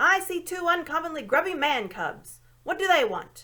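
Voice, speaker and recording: Putting on a character voice, a woman speaks at a moderate pace with an extremely high pitch. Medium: read story. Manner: gruff, impatient.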